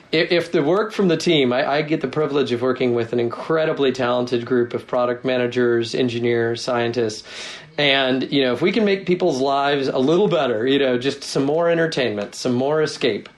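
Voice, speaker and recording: A man with a General American accent, medium pitch, ordinary pitch variation and very even loudness, at a fairly quick pace over noticeable background noise. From US Northwest, Seattle. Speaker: tech company product executive. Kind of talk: interview.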